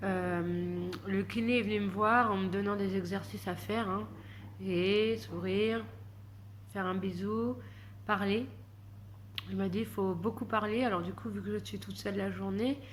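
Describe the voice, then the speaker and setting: With long, frequent pauses, a woman speaks amid audible room echo. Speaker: vlogger. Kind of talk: casual vlog monologue. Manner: soft-spoken, slow; hesitant, many fillers.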